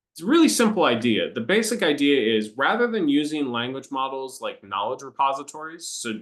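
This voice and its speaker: A man with an American accent talks at a fairly quick pace, his voice fairly high and his intonation lively. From US Midwest, Iowa. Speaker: professor. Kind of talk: lecture. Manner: some hesitations and fillers.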